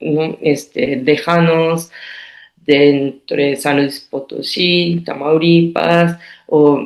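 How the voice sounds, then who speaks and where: Using a very deep, low pitch, a woman with a Japanese accent speaks at a very slow pace with fairly even intonation. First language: Japanese (speaking Spanish). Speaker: artist. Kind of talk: interview. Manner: halting.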